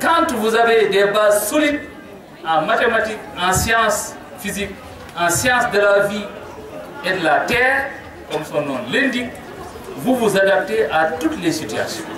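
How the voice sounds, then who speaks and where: Over crowd noise in the background and audible room echo, a man talks at a fairly slow pace with long, frequent pauses, his high pitch moving in very wide swings. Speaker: mayor and education official. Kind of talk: formal speech at ceremony. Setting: school ceremony with audience, PA microphone. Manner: formal.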